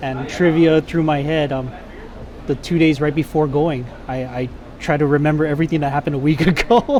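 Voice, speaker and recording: A man talks at a fairly quick pace, his pitch fairly high and his intonation fairly even. Noticeable background noise runs under the recording. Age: 30s. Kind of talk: casual interview.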